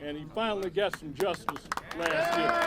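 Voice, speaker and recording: Crowd noise fills the background. Over it, a man speaks with very wide pitch swings. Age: 60s. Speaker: union leader. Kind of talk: rally speech.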